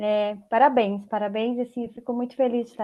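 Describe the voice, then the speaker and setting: A woman talks at a fairly quick pace in a fairly high pitch, her intonation monotone and flat. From interior of São Paulo state, Brazil. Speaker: tax consultant, guest lecturer. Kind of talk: online lecture. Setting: video call from home.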